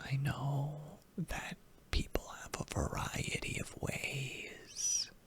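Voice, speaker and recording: Over noticeable background noise, the whispered words come at a very slow pace. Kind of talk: ASMR comfort and reassurance talk to the listener. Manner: soft-spoken, whispered, rambling.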